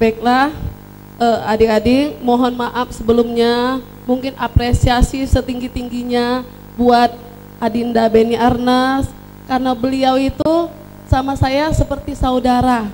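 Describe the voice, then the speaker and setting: Speaking at a fairly slow pace, a woman uses a high pitch and a monotone, flat intonation. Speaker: book reviewer at a launch. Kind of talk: public speech at book launch.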